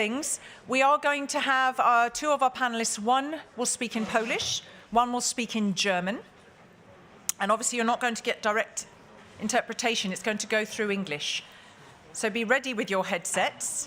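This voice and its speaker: A woman's fairly high voice with ordinary pitch variation. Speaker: conference moderator. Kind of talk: panel moderation. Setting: conference hall with audience. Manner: fast.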